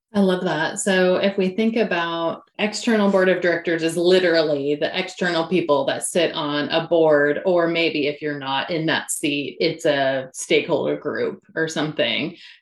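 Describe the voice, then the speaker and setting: A woman talks at a moderate pace with a fairly low pitch and hardly any pauses. Her pitch variation is ordinary, and there is noticeable background noise. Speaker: podcast host and coach. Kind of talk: interview with scripted intro.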